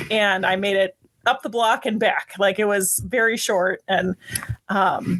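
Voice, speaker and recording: With an American accent, a woman with a medium-pitched voice, an unremarkable speaking voice, talks at a fairly slow pace with fairly even intonation. The sound is dry and close, with no echo. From US Midwest. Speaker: band director, marathon runner. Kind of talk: casual podcast interview.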